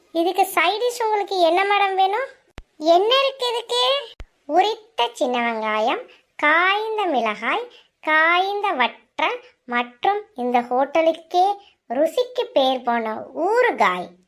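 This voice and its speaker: A woman's squeaky, cartoonish character voice, extremely high in pitch with very wide pitch swings, at a very slow pace. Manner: obsequious, says madam constantly.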